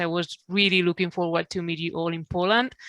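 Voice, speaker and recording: Spoken with a Spanish accent at a fairly quick pace, the voice has a bright, sharp tone and a dry, close sound with no echo on a very clean recording with a silent background. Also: woman. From Spain. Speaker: veterinary neurologist. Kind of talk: panel discussion. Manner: fast.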